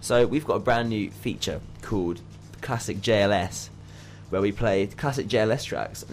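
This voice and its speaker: This man's voice carries vocal fry. His pitch varies in an ordinary way. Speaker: student radio DJ. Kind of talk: radio DJ patter, scripted jingles and banter. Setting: university radio studio. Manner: animated, jokey, upbeat.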